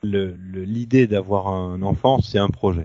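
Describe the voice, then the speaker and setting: Very slow is the pace of this man's speech. His pitch shifts in an ordinary way. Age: 40s. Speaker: new father. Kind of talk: interview. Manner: halting. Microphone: poor sound quality.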